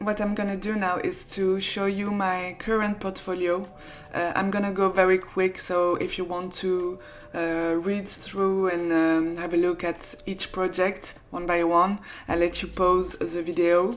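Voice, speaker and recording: Against noticeable background noise, a woman speaks at a medium pitch with monotone, flat intonation and a fairly slow pace. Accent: French. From France. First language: French. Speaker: freelance graphic designer. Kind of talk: casual vlog tutorial. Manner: hesitant, with fillers.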